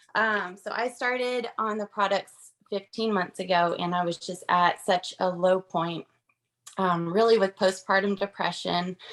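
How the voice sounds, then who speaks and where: This woman has a Southern US accent and a medium pitch. She speaks at a fairly slow pace with fairly even intonation. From US South, Georgia. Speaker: direct sales consultant. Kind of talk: testimony. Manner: shaky, nervous.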